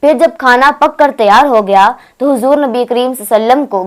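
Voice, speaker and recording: This is a plain, everyday voice with ordinary pitch variation. The recording is very clean, with a silent background. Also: woman. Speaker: Islamic teacher who runs an institute for women. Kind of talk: religious lecture retelling a historical account.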